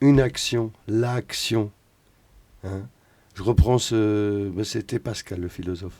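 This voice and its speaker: A man's fairly low voice with ordinary pitch variation, at a very slow pace. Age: 50s. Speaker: musician. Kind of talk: casual chat.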